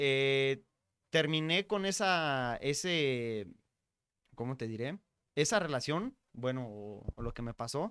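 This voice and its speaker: Over a silent background in a very clean recording, a man with a fairly high voice speaks very slowly with lively intonation and long, frequent pauses. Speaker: podcaster. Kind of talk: casual interview. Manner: clear.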